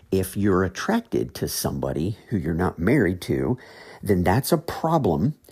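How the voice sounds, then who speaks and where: In an American accent, a man with a very deep, low pitch and vocal fry talks at a moderate pace with very wide pitch swings, on a very clean recording with a silent background. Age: 40s. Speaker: podcast host, Bible teacher. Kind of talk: podcast teaching monologue. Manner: hesitant, with fillers and repeated words.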